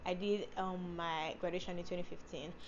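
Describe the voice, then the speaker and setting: This woman's voice sits at a medium pitch and keeps a fairly even intonation. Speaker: beauty and lifestyle vlogger. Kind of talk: casual vlog talk to camera. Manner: fast; rushed words, tongue slips.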